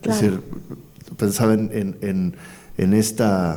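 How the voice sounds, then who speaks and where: A man with a dark, mellow tone speaks very slowly at a fairly low pitch, with ordinary pitch variation. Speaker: poet and executive coordinator of a cultural institution, interviewer. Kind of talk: interview conversation, thoughtful and hesitant delivery.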